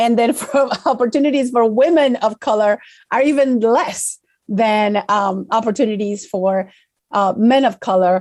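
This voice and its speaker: In an Argentine accent, a woman speaks at a fairly slow pace with lively intonation on a very clean recording with a silent background. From Argentina. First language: Spanish. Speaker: corporate public affairs director. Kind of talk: interview. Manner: halting, many fillers and repetitions.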